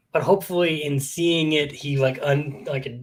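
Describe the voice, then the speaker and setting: The speaker has an American accent and a somewhat breathy voice. Delivery is at a moderate pace with fairly even intonation. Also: man. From US West (Fresno, California). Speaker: podcast host. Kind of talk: casual chat. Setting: live stream. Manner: whispering.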